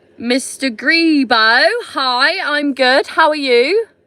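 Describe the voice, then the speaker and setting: A woman's raised, projected voice, high-pitched with a bright, sharp tone, on a very clean recording with a silent background. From Somerset, England. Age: 30s. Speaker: vlogger. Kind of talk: casual chat. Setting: livestream from camper van. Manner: animated.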